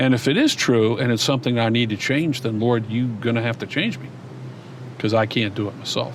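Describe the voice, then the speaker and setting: Noticeable background noise behind a man's medium-pitched voice, fairly even in intonation and fairly quick in pace. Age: 60s. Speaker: former pastor. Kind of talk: interview.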